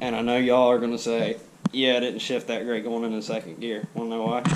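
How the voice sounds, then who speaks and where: Moderately paced speech from a man, medium in pitch, over noticeable background noise. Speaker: car vlogger. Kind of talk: casual vlog. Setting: outdoors. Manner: stuttering.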